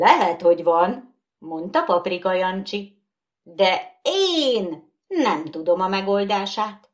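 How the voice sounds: This is a natural reading voice against a quiet background.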